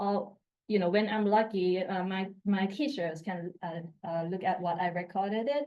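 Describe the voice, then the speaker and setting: The speaker talks at a moderate pace in a Thai accent. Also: woman. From Thailand, Bangkok. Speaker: assistant professor. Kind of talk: conference talk. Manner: halting.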